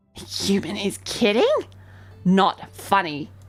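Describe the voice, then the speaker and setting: Putting on a character voice at a medium pitch, a woman speaks at a fairly slow pace with faint music in the background. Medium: virtual streamer. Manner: clipped, broken phrases.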